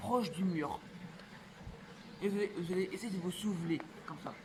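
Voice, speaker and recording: Noticeable background noise runs under this recording. A man talks with fairly even intonation. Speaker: parkour youtuber. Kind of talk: tutorial. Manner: fast.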